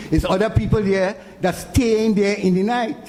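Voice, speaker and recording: A man talks at a high pitch and a moderate pace. There is audible room echo and noticeable background noise. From Trinidad, San Fernando. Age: 70s. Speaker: charity volunteer leader. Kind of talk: public meeting speech. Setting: community consultation in auditorium.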